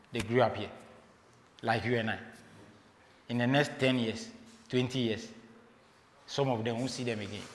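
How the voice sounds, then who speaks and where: A Ghanaian accent with audible room echo. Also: man. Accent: Ghanaian English, non-native pronunciation. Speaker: motivational speaker, flight engineer. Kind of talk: motivational talk. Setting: stage with audience, livestreamed. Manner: conversational, halting.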